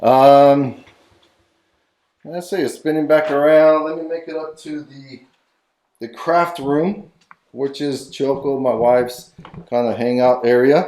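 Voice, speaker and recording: This man has a fairly high pitch and a dark, mellow tone, with fairly even intonation. He talks at a fairly slow pace with long, frequent pauses and big swings in loudness. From Mexico. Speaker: vlogger. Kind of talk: casual vlog house tour. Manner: rambling, hesitant with many fillers.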